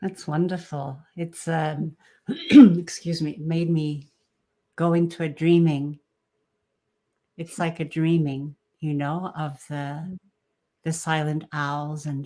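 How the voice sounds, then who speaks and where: Very deep and low, a woman's dark, mellow voice moves at a very slow pace with long, frequent pauses, flat monotone intonation and big swings in loudness. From Japan. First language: Japanese. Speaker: podcast host. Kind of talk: livestream interview. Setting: livestream. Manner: halting.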